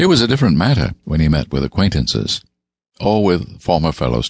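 The recording has a quiet background. It is a natural reading voice.

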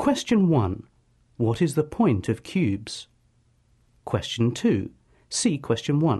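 A man's somewhat breathy, dark and mellow voice, fairly high in pitch with very wide pitch swings, at a very slow pace with long, frequent pauses and very even loudness. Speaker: comedian and broadcaster. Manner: formal pseudo-documentary tone with straight-faced nonsense.

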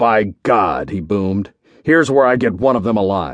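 Against a quiet background, a man puts on a booming character voice, fairly low in pitch, with lively intonation at a moderate pace. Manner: booming, forceful.

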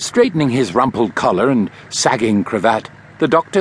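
The clip features a natural reading voice.

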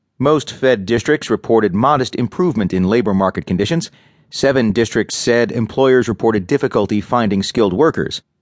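With a plain, everyday voice, a man talks at a moderate pace and medium pitch, with ordinary pitch variation, a quiet background and a dry, close sound with no echo. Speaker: audiobook narrator. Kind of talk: news reading. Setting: studio. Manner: formal; measured, even-paced, neutral.

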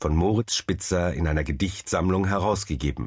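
Against a quiet background, a man with a very deep, low pitch and a somewhat breathy voice speaks with ordinary pitch variation. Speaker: author and literary critic narrator. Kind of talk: literary essay read aloud, audiobook narration. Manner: formal, measured.

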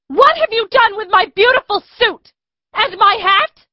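Speaking at a moderate pace, a woman uses lively intonation in an extremely high-pitched voice. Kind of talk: period drama acting. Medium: audio drama. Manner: indignant, haughty, protesting.

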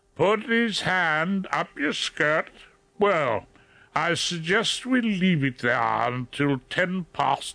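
Putting on a growling character voice, a man speaks very slowly at a high pitch, his voice swinging very widely in pitch while his loudness stays very even.

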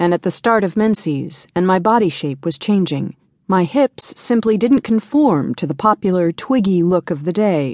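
A woman speaks at a moderate pace in a medium pitch, her tone warm and her pitch swinging very widely. The sound is dry and close with no echo, against a quiet background. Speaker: audiobook narrator. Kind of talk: audiobook reading of a first-person memoir, scripted narration. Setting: studio. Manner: steady, warm, earnest storytelling pace; reflective, confiding, slightly rueful.

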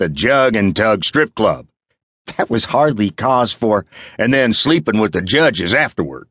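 Quiet background behind an unforced reading voice

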